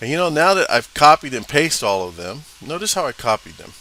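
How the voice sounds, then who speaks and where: A man's voice over noticeable background noise. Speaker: instructor. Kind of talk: tutorial. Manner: casual, hesitant with fillers.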